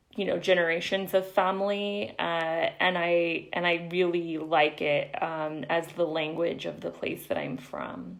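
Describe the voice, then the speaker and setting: A woman's fairly low voice in an American accent, fairly slow pace, and fairly even intonation. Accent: El Paso border American English, Spanglish. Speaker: poet. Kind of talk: live-stream Q&A after poetry reading.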